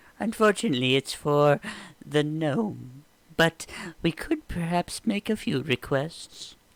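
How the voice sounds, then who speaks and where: Using a put-on character voice, a man speaks at a fairly slow pace with lively intonation. The sound is dry and close, with no echo. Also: fairly high pitch for a man. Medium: actual play. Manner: friendly, theatrical.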